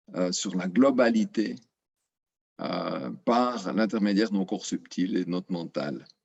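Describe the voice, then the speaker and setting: Very slowly, a man speaks in a fairly low pitch with vocal fry and ordinary pitch variation. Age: 60s. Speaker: retiree giving testimonial. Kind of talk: testimony. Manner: halting, many filler sounds.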